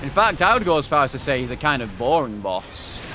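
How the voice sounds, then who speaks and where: Over music in the background, a man with a fairly high pitch talks at a very fast pace. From northern England, Wigan, Greater Manchester. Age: 20s. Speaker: video game streamer. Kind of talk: casual live-stream commentary. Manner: animated.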